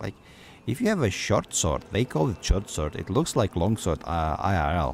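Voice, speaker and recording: At a moderate pace, a man talks in a very deep, low voice. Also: lively intonation. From Slavic-speaking country. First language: a Slavic language. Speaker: gaming streamer. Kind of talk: live gameplay commentary. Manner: loud; casual, hesitant with fillers.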